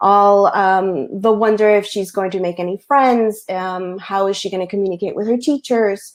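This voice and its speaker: Barely pausing, a woman with a Spanish accent talks at a medium pitch with fairly even intonation. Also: moderate pace. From US Northeast, Queens, New York, Colombian family. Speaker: picture book author. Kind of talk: panel discussion. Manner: halting, many fillers.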